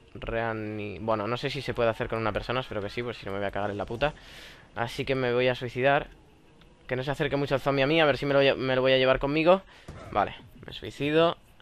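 Amid noticeable background noise, a man speaks at a very fast pace. His pitch is medium with ordinary pitch variation. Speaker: gaming youtuber. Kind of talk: gameplay commentary. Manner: animated.

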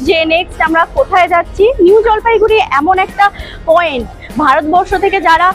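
Faint music sits in the background as a woman speaks in an extremely high pitch with ordinary pitch variation. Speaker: travel vlogger. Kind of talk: casual vlog chat. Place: station. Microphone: lapel.

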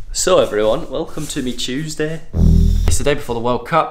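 A man talks while music plays in the background. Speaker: gymnast vlogger. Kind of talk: casual vlog chat. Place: kitchen. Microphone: phone near.

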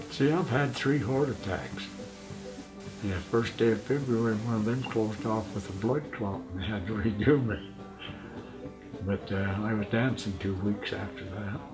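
Clear music sounds behind the speaker. He is a man whose pitch varies in an ordinary way. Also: fairly low pitch for a man, moderate pace. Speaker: farmer and rancher. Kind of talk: interview answer. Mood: relaxed, wry humor. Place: home room.

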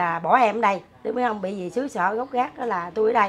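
The speech moves at a fairly quick pace with ordinary pitch variation. Light background noise can be heard. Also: woman. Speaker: interviewee. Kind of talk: interview answer. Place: home room. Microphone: camera far.

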